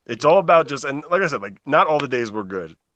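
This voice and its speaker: Against a quiet background, a man with an American accent speaks at a medium pitch with lively intonation in a normal speaking voice. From New Jersey. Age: 30s. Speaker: patient advocate. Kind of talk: casual interview.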